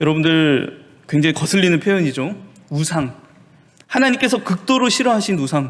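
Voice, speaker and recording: The speech has long, frequent pauses and very wide pitch swings. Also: man, high pitch for a man, moderate pace. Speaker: pastor teaching Bible study. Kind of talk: lecture. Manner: explanatory, asks rhetorical questions.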